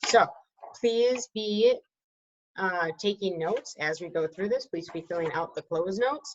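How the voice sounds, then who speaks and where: A woman speaks in a plain, everyday voice at a moderate pace, her intonation lively. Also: medium pitch for a woman. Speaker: teacher. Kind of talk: lecture.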